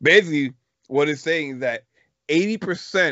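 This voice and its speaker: A man speaks in an animated tone. His pitch varies in an ordinary way. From Puerto Rican heritage. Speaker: podcast host. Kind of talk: casual chat. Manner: loud, animated.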